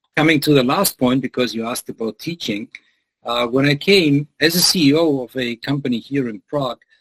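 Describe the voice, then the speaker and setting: A man speaks with a German accent. His pitch sits fairly high, and the sound is dry and close with no echo. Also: ordinary pitch variation, fairly quick pace. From Germany. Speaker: business lecturer. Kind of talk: interview.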